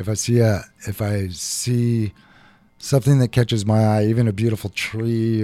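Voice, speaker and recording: A dark, mellow tone with an American accent at a moderate pace. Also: man. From Seattle, Ballard. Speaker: chef and restaurant owner. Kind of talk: radio interview.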